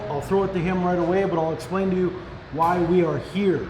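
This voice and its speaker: The loud voice comes with audible room echo and noticeable background noise. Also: man. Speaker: YouTube channel host. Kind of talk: cooking show chat. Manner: animated.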